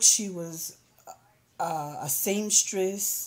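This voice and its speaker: A woman with a Southern US accent. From US South. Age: 40s. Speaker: vlogger. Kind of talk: personal testimony. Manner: halting, many fillers.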